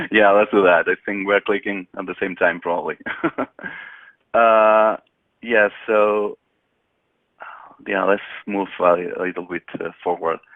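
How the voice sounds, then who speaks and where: With a Spanish accent, a man speaks at a fairly low pitch and fairly slow pace. His intonation is monotone and flat, with long, frequent pauses. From Spain. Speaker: technical expert, solutions engineer. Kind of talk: webinar presentation. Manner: hesitant, many fillers.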